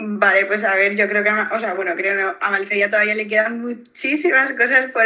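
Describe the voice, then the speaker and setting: Noticeable background noise runs under this recording. A woman speaks in a fairly high pitch. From Valencia region, Spain. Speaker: beverage brand founder. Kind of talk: interview.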